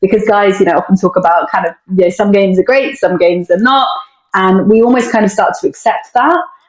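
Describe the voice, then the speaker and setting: A woman with a British accent at a very fast pace, her loudness very even throughout. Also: medium pitch for a woman, ordinary pitch variation. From UK. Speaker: mental performance coach. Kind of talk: casual interview.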